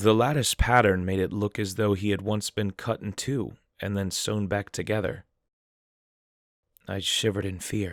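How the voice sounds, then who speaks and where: Recorded very cleanly with a silent background and a dry, close sound with no echo, a man speaks at a fairly low pitch with fairly even intonation and long, frequent pauses. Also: moderate pace. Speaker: horror story narrator / YouTube creepypasta reader. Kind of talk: horror story narration, creepypasta reading.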